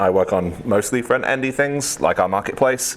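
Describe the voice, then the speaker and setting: A man with lively intonation talks at a moderate pace while noticeable background noise carries on. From UK. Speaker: software engineer, conference speaker. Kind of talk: tech talk. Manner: many fillers (um, uh).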